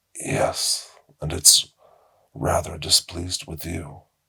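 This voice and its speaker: A man's put-on character voice, very deep and low, raspy and wheezy, calm in tone, at a fairly slow pace. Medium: read story. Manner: calm, slow, formal.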